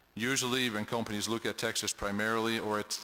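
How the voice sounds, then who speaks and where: A man with a European accent speaks at a fairly low pitch with a bright, sharp tone. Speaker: state official for international business development. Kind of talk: testimony at a public hearing. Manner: halting, many fillers and repeats.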